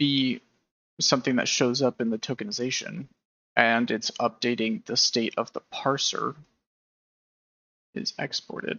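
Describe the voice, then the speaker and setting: Mumbling at a fairly slow pace, a man speaks with a fairly high pitch. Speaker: game engine developer live streamer. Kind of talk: live coding stream commentary. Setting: live stream at computer. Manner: casual, hesitant; mumbling while programming. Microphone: audio cutting out, noise gate clipping quiet speech.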